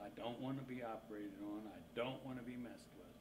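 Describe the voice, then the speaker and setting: A man talks at a moderate pace with a medium pitch and ordinary pitch variation. Audible room echo and noticeable background noise fill the recording. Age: 50s. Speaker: organ transplant recipient. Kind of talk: interview testimony.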